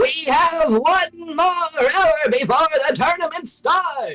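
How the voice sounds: A very slow pace carries a put-on character voice. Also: man, extremely high pitch for a man.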